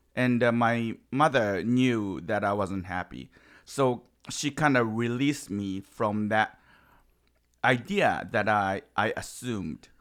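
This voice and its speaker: On a very clean recording with a silent background, a man with a strong Japanese accent speaks very slowly at a medium pitch, his pitch varying in an ordinary way. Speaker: improv comedian and actor. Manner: halting, broken English.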